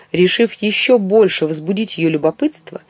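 Someone is reading aloud. It is done in a natural voice.

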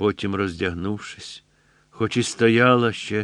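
The speaker reads in an unforced voice.

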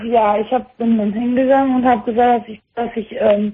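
A woman talks at a fairly quick pace with a fairly high pitch. Her voice has a slightly husky edge and fairly even intonation.

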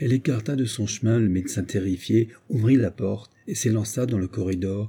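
The delivery is an unforced reading voice. Its pitch varies in an ordinary way.

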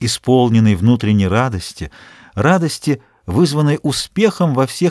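The intonation stays lively. It is plain reading aloud.

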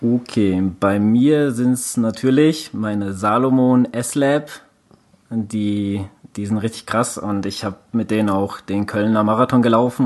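The man uses an ordinary speaking voice, fairly low in pitch with ordinary pitch variation, and talks fairly slowly. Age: 30s. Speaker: endurance sports podcast co-host. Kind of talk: casual chat.

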